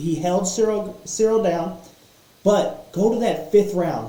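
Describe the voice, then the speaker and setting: A man with a high voice talks at a fairly slow pace, his pitch rising and falling in an ordinary way, with audible room echo and noticeable background noise. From Kentucky. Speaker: MMA podcaster. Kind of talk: casual fight analysis monologue. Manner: animated, with repetitions and fillers. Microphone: poor sound quality setup.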